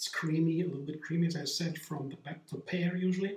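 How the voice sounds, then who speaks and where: A male speaker, somewhat rapid, with echo from the room clearly audible. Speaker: home juicing vlogger. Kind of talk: casual vlog chat. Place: kitchen. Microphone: camera far.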